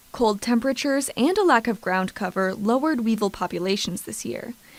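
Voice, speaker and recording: At a fairly quick pace, a woman with a plain, everyday voice speaks in a fairly high pitch with lively intonation. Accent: American. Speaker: TV news reporter. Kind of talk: TV news voiceover narration.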